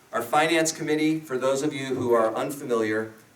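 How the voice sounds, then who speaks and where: Noticeable background noise and audible room echo surround a man's voice. He speaks at a fairly quick pace with ordinary pitch variation. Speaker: state senator. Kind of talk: keynote speech. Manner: fast.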